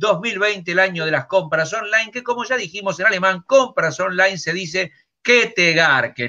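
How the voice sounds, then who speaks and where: A man speaks at a high pitch and a moderate pace. His intonation is lively. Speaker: comedian. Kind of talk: stand-up style news comedy.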